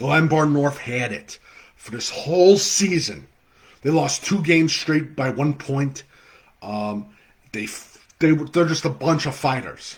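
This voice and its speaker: A man's somewhat breathy voice, fairly high in pitch, with ordinary pitch variation and a fairly slow pace. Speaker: football podcast host. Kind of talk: live webcast commentary. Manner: halting, many fillers; enthusiastic.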